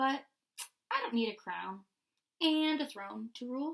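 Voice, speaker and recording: A woman uses a put-on character voice pitched high. She speaks at a moderate pace. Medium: read story.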